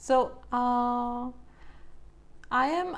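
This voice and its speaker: Her voice is high-pitched, and this woman speaks with ordinary pitch variation. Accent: non-native. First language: not English. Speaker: coloring channel host. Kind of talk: live stream coloring tutorial. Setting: home, live stream on camera. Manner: hesitant, with fillers.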